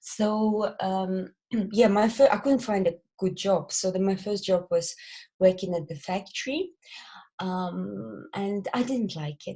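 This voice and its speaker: A woman with a Belarusian accent speaks fairly slowly in a medium pitch, somewhat breathy and dark and mellow in tone, with ordinary pitch variation. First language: Belarusian or Russian. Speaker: lash company director. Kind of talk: podcast interview. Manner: hesitant.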